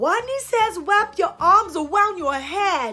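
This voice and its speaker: A woman uses a put-on character voice at a fairly slow pace while faint music plays in the background. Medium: read story. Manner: replaces r sounds with w.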